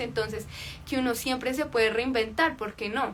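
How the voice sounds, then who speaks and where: A woman talks at a fairly quick pace with music in the background. Audible room echo colors the recording. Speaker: life coach. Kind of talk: livestream talk.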